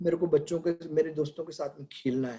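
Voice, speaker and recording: This is a man's voice with a somewhat breathy quality. Its tone is dark and mellow. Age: 70s. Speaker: pediatrician. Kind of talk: webinar talk. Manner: conversational.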